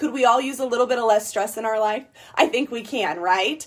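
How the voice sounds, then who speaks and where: Loud and animated, a woman speaks at a high pitch with ordinary pitch variation. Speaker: network marketing distributor. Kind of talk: sales pitch. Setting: livestream.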